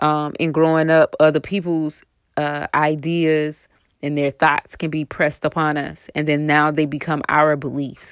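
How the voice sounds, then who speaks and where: A woman's very deep, low voice, monotone and flat, at a fairly slow pace. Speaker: podcast host. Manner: rambling, self-correcting.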